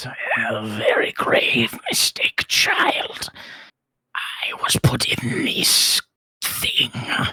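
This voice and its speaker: A put-on character voice, raspy, at a very slow pace. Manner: chuckling, sinister.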